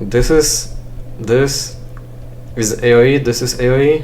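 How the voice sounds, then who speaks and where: A man speaks at a medium pitch. The room echoes audibly, with noticeable background noise. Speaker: gaming let's play creator. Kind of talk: casual gameplay commentary. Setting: at home alone. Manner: halting, frequent pauses and fillers; chill, not loud.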